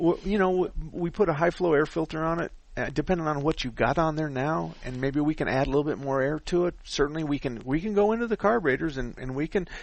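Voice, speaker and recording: A man at a fairly high pitch, talking at a very fast pace. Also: ordinary pitch variation. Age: old. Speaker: radio car talk host. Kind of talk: call-in radio advice.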